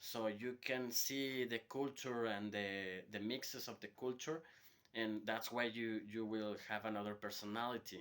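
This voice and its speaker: At a fairly slow pace, a man speaks with a Spanish accent and medium pitch. His intonation is fairly even. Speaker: hotel worker giving a language lesson. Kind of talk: informal lecture to students. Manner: hesitant, with repetitions and fillers.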